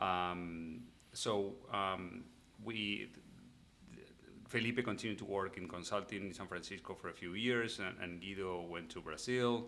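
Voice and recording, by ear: A man's low-pitched voice, bright and sharp in tone, at a fairly slow pace with fairly even intonation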